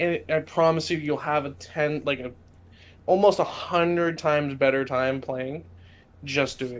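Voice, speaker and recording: Someone with a Californian accent talks at a fairly slow pace. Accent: sounds Californian. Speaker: podcast host, tabletop game master. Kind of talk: casual chat. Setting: live stream.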